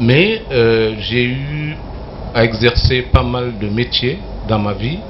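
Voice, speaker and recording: A man talks very slowly, his pitch varying in an ordinary way, with audible room echo and noticeable background noise behind him. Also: medium pitch for a man. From Mali. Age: 60s. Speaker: journalist and columnist. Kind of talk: TV talk show interview. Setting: TV studio with live audience. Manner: hesitant, many fillers.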